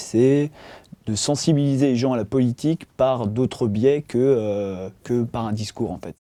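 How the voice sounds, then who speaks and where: A man is speaking. His tone is dark and mellow. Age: 20s. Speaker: youth activist. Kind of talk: documentary testimony.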